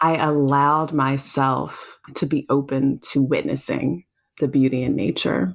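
With an American accent, a woman speaks fairly slowly in a very deep, low voice with vocal fry and fairly even intonation. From US South, South Carolina. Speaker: content creator and self-love advocate. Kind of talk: interview conversation.

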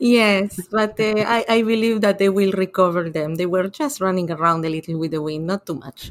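A woman at medium pitch, with an Argentine accent. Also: ordinary pitch variation, moderate pace, hardly any pauses. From Argentina. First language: Spanish. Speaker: tech ecosystem investor. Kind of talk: interview. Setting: remote call.

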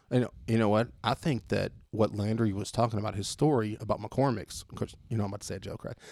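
Speaking very fast with a Texan accent, a man at a fairly low pitch shows ordinary pitch variation and big swings in loudness. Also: hardly any pauses. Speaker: returning podcast guest. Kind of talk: casual chat. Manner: animated.

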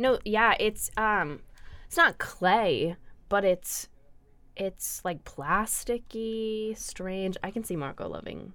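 A woman's bright, sharp voice at a very slow pace, with ordinary pitch variation. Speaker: student radio co-host. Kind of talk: casual chat. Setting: studio.

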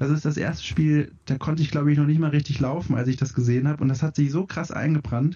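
Speaking at a very fast pace with hardly any pauses, a man with a fairly high, somewhat breathy voice keeps his intonation fairly even. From Franconia, southern Germany. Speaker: video game editor. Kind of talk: casual chat.

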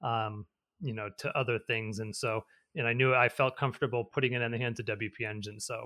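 With an ordinary speaking voice, a man talks at a fairly quick pace in a medium pitch and fairly even intonation. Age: 40s. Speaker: tech entrepreneur. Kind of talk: interview.

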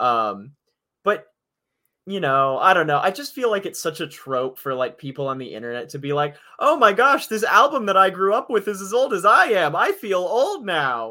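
In a very clean recording with a silent background, a man projects a raised voice at a high pitch, his tone bright and sharp, his pitch swinging very widely at a moderate pace. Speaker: podcast co-host. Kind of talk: casual chat.

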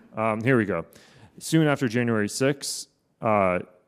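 With an American accent, a man speaks in an unremarkable speaking voice at a medium pitch, with ordinary pitch variation. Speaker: policy researcher. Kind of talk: panel discussion with slide presentation.

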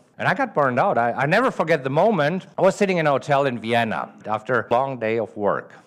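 Racing at a very fast pace with hardly any pauses, the voice swings very widely in pitch on a very clean recording with a silent background. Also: man, fairly high pitch for a man. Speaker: podcast host and trader. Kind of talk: podcast intro with a clip from a live event talk.

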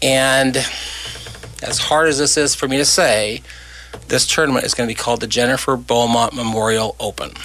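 Over noticeable background noise, a man with a medium pitch and fairly even intonation speaks at a moderate pace with long, frequent pauses. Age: 60s. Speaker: cancer charity organizer. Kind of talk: casual chat.

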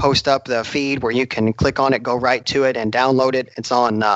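A man with an American accent uses a normal speaking voice at medium pitch, a moderate pace and fairly even intonation. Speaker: drag racer and podcast co-host. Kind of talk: casual interview.

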